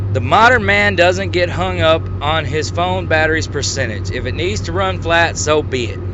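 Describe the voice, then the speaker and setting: A man with an American accent speaks at a moderate pace with a very deep, low pitch and lively intonation. Audible room echo and noticeable background noise fill the recording. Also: hardly any pauses. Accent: Southern US, hillbilly-sounding. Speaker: YouTube commentator. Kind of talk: rant video commentary. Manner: animated.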